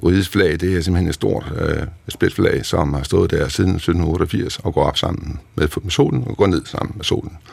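Vocal fry at a fairly slow pace. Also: man. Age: 60s. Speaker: retired naval officer, museum director. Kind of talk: interview.

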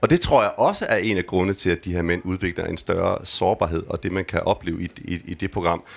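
Hardly any pauses break this man's speech. He keeps a moderate pace. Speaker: gender researcher. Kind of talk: live panel conversation. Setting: stage with audience. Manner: casual, hesitant.

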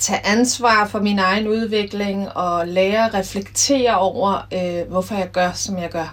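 Speaking at a very slow pace, a woman uses a medium pitch and fairly even intonation. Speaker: former handball player and coach. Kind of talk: interview.

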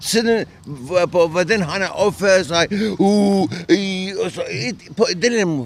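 Very slow in pace, a man speaks at a high pitch with ordinary pitch variation. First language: not Danish (speaking Danish). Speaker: resident of a departure centre. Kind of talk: interview. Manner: halting.

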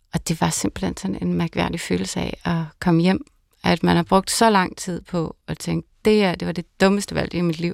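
Moderate-speed speech from a woman, dry and close with no echo. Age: 40s. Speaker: pastor. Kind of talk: casual chat. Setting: studio.

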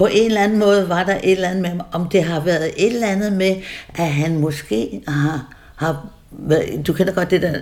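Noticeable background noise runs beneath speech delivered at a fairly slow pace. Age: 80s+. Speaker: interviewee, eyewitness. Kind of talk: casual conversation. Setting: her home by the sea. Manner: halting.

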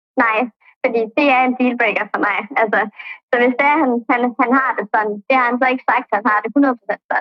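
A woman's high-pitched voice at a moderate pace, with very even loudness and fairly even intonation. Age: 20s. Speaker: caller sharing a secret. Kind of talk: casual chat. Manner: halting.

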